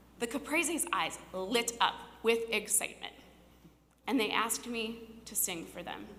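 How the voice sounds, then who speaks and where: A woman with a Midwestern US accent speaks in a fairly high, bright, sharp voice with lively intonation. She leaves long, frequent pauses, her loudness swings widely, and the room echo is audible. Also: moderate pace. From Cincinnati, Ohio (west side). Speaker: storyteller. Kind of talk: personal storytelling on stage.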